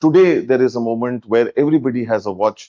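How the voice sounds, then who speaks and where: At a moderate pace, a man talks in a medium pitch. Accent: strong Indian. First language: Hindi. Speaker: event speaker. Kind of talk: speech to audience.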